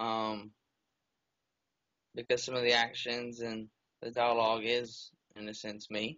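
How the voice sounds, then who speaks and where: Mumbling, monotone speech from a man at medium pitch with a Southern US accent, flat in intonation. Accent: Southern drawl. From Alabama. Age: 20s. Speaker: book character inspiration. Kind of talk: interview. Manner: soft-spoken.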